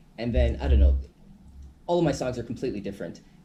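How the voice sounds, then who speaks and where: His voice dark and mellow with vocal fry, a man speaks with very wide pitch swings. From Caribbean, Saint Martin. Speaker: hip hop artist. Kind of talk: radio interview.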